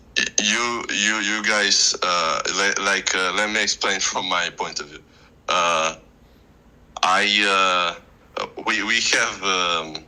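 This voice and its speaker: Very slow, fairly low speech from a man, with fairly even intonation, long and frequent pauses, and noticeable background noise. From Moldova. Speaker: debater. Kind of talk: casual debate. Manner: halting, many fillers and restarts.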